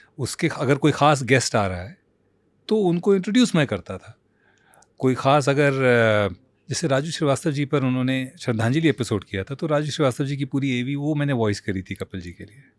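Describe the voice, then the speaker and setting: On a very clean recording with a silent background, an ordinary speaking voice comes through with lively intonation. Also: man. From India. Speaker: voice-over artist. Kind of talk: interview answer.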